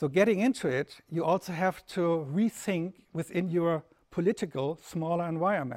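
Against a quiet background, a man with a German accent speaks at a moderate pace in a high pitch, with ordinary pitch variation. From Germany. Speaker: lecturer. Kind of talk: lecture. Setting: festival talk with live audience. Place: hall.

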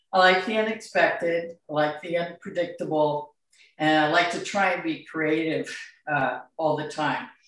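Audible room echo surrounds a woman with a fairly low pitch and fairly even intonation, and the background is quiet. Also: moderate pace. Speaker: demonstrating artist. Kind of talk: presentation talk. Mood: warm, grateful. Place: home room.

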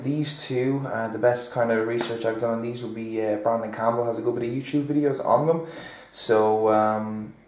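Monotone, flat intonation from a man at a moderate pace, with audible room echo. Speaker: fitness vlogger. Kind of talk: casual vlog chat. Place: kitchen.

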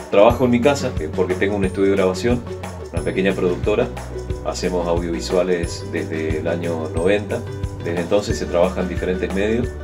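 A man speaks with a very deep, low pitch. Clear music plays in the background. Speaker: radio and TV announcer, voice-over professional with a home recording studio. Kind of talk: interview answer about his career. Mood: relaxed, friendly. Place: booth. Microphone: studio mic.

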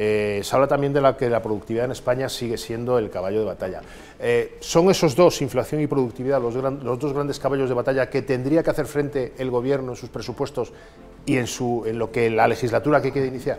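Keeping a fairly even intonation, a man talks at a very fast pace. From Spain. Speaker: political interviewer. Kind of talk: interview. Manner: formal. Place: office. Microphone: lapel.

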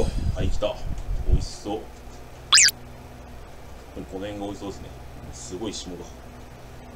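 Background music runs throughout. A man's speech unfolds at a fairly slow pace. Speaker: video creator. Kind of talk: casual vlog chat. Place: home room. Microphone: camera far.

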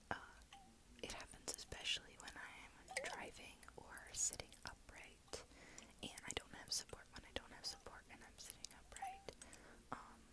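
Over loud background noise, a woman speaks with long, frequent pauses. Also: moderate pace. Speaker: vlogger. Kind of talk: casual vlog chat. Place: home room. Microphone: earbuds.

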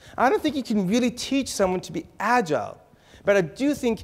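The pace is fairly quick, with very wide pitch swings. The background is quiet. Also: man. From Israel, raised in Texas and California. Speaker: author and keynote speaker; keynote speaker. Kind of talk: conference keynote talk. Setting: stage with audience. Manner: humorous. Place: hall. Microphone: lapel.

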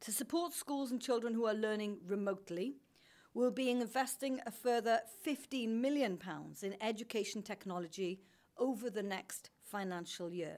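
A woman's speech shows ordinary pitch variation at a moderate pace. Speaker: government minister. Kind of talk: prepared press statement. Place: hall.

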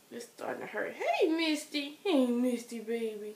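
A woman with an American accent and fairly high pitch, over noticeable background noise. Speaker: vlogger. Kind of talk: casual vlog update. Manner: hesitant, many fillers.

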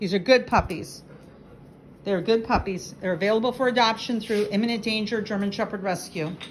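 With light background noise behind her, a woman speaks quickly enough, at a fairly quick pace, with a fairly high pitch. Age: 60s. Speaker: dog rescue operator. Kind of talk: casual vlog rant. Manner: animated. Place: home room. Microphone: phone near.

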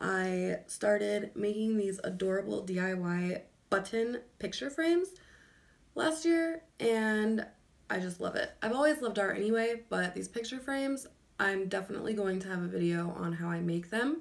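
Lively intonation runs through speech at a moderate pace. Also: woman. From Illinois, US Midwest. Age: 20s. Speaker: lifestyle vlogger. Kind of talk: casual vlog monologue. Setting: recording at home. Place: home room. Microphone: phone near.

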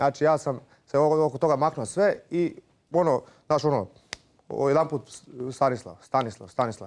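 With vocal fry, a man speaks at a fairly high pitch. Long, frequent pauses break up his speech, and his loudness stays very even. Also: ordinary pitch variation, moderate pace. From Croatia, Zagreb. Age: 30s. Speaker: MMA fighter and businessman. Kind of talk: reality show confrontation. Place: hall. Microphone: lapel.

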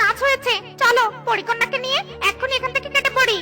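Over clear music in the background, a cartoonish character voice with an extremely high pitch moves at a fairly quick pace. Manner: earnest.

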